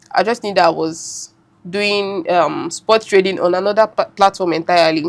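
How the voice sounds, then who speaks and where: Ordinary pitch variation, with a Nigerian accent. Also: woman, medium pitch for a woman, moderate pace. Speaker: forex trader. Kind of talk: podcast interview answer.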